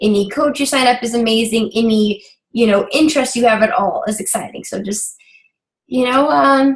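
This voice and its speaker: Somewhat breathy speech carries ordinary pitch variation. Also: woman. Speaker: fitness business coach. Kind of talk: team coaching meeting. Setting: video call. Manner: hesitant, many fillers.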